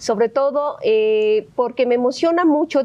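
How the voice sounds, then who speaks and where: A woman's high voice with lively intonation at a fairly slow pace. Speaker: legislator. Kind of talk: panel discussion. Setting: auditorium with student audience. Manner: hesitant, many fillers.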